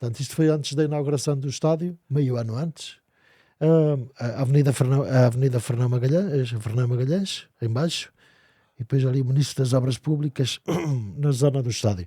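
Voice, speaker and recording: Somewhat breathy speech at a fairly quick pace, with ordinary pitch variation. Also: man, medium pitch for a man. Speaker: podcast host. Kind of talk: podcast interview questions.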